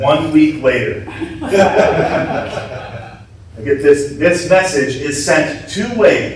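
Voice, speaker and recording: Noticeable background noise and audible room echo surround a man speaking in a high voice. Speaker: security conference speaker, hardware hacker. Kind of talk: conference talk. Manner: slow.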